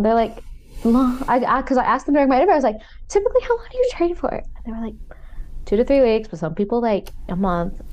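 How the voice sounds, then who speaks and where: Talking at a very fast pace in an animated tone, a woman uses a high pitch while noticeable background noise runs underneath. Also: lively intonation. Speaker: podcast co-host. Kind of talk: casual chat.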